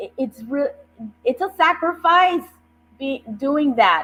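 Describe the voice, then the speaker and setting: A woman's raised, projected voice with an American accent, on a very clean recording with a silent background. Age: 60s. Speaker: judicial candidate, attorney and professor. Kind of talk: interview on a talk show. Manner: earnest, emphatic.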